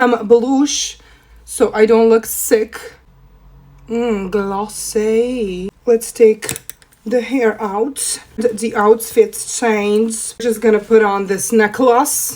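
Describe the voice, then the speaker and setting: Fairly high female speech set over noticeable background noise. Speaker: makeup content creator. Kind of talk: makeup tutorial. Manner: animated.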